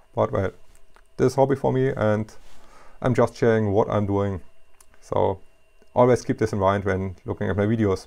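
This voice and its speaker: In a German accent, a man speaks at a moderate pace and a fairly low pitch, his tone dark and mellow, with ordinary pitch variation and long, frequent pauses. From Germany. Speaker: hobbyist machinist YouTuber. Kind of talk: tutorial. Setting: home workshop in basement. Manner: halting, with fillers. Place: workshop.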